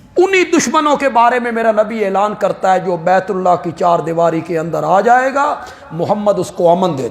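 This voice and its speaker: Against noticeable background noise, a man with a high-pitched voice speaks in a passionate tone with lively intonation. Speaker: Islamic scholar and preacher. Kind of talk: Urdu religious sermon on Quranic commentary and Islamic history. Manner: passionate, emotional, oratorical.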